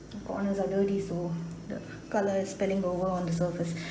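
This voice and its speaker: A woman's voice carries audible room echo along with noticeable background noise. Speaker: watercolor artist. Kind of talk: tutorial. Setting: voiceover. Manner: casual.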